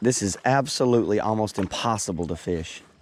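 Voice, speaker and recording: A man's voice with ordinary pitch variation, dry and close with no echo, over noticeable background noise. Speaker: fishing guide. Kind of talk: outdoor vlog narration. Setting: outdoors on a river, kayak. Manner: casual, conversational.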